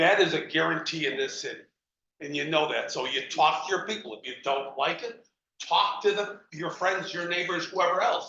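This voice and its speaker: An animated voice with an American accent and ordinary pitch variation, plus audible room echo. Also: man, high pitch for a man, moderate pace. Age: 70s. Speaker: council member. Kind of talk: heated debate. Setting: council meeting.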